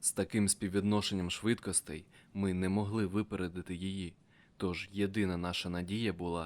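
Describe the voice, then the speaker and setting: A very deep, low male voice, fairly slow and monotone, on a very clean recording with a silent background. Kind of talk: dramatic audiobook narration, first-person. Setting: audiobook. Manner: tense, urgent, breathless action pacing.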